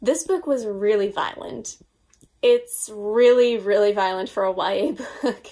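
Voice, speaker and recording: Against a quiet background, a woman with an American accent speaks fairly slowly at a fairly high pitch, with ordinary pitch variation. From US, Long Island, New York; New York. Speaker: book YouTuber. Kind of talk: casual vlog monologue. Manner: animated. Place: home room.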